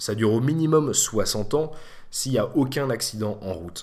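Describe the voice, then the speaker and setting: This man's voice sits at a medium pitch, with lively intonation. It is an unremarkable speaking voice. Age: 20s. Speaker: podcast host. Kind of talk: solo monologue. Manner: casual.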